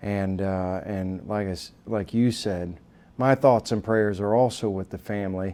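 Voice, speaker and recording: The man's voice is fairly low in pitch. He talks at a fairly slow pace. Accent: American. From Texas, Southeast Austin. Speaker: army veteran and political candidate. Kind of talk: interview. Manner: halting, many fillers.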